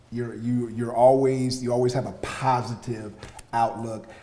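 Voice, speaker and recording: Someone with an American accent talks at a moderate pace and fairly even intonation, over noticeable background noise and audible room echo. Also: man. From US South, Atlanta. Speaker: podcast host. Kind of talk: interview.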